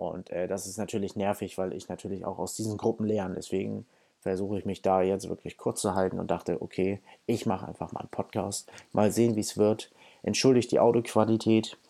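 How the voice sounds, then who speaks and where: Fairly low in pitch, a man talks at a fairly quick pace in monotone, flat intonation. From Hamburg, northern Germany. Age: 20s. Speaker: podcast host. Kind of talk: solo podcast monologue. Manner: casual with filler words.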